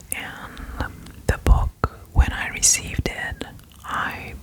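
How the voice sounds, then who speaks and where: Whispering over noticeable background noise. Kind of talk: ASMR whisper video. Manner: whispered; soft-spoken.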